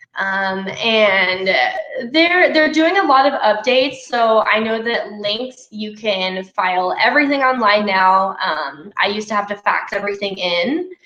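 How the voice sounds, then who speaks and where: Over noticeable background noise, a woman with a fairly high pitch talks at a fairly slow pace with lively intonation. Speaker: glass repair trainer. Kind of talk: live webinar Q&A.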